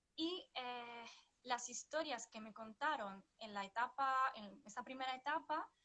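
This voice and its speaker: This woman has a high voice and a Sevillian accent. She talks at a very slow pace. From northern Italy, Vicenza. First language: Italian (speaking Spanish). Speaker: psychotherapist and flamenco dancer. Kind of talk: interview. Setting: livestream. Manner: hesitant, many fillers.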